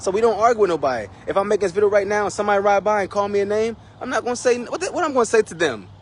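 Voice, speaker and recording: Over noticeable background noise, a man with a high pitch talks at a very fast pace with ordinary pitch variation. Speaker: street preacher. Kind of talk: sermon.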